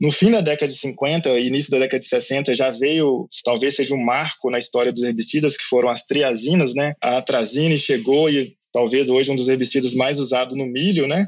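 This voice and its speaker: Hardly pausing, a man with an ordinary speaking voice talks at a moderate pace and medium pitch, with ordinary pitch variation. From Brazil, Minas Gerais. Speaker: agronomist and university professor. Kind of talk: interview about herbicides.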